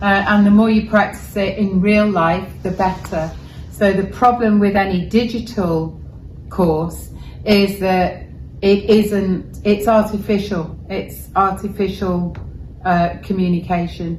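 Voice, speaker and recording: Over noticeable background noise and audible room echo, a woman speaks very slowly in a Welsh accent. Her medium pitch stays flat and monotone. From Wales. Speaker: journalist. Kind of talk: interview. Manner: measured, articulate.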